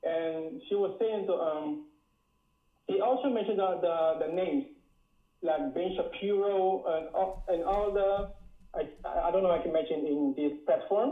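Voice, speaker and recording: In a strong West Indian accent, a man with a high pitch talks at a moderate pace, with ordinary pitch variation. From Dutch Caribbean island. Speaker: caller. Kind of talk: call-in talk. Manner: halting.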